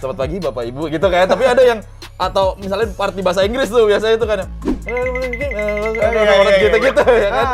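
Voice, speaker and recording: Music plays behind a man talking at a very fast pace with lively intonation and a high pitch. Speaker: airline pilot. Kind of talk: casual talk to camera.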